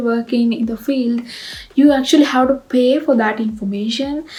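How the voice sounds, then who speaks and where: A woman speaks at a high pitch and moderate pace with fairly even intonation amid noticeable background noise. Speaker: graduate student vlogger. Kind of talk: casual advice vlog. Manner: hesitant, many fillers.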